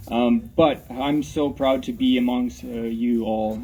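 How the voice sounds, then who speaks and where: His intonation is fairly even. The man's voice sits at a medium pitch. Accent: Ukrainian. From Ukraine. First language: Ukrainian. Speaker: rally speaker. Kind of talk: public speech at rally. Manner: halting, many fillers.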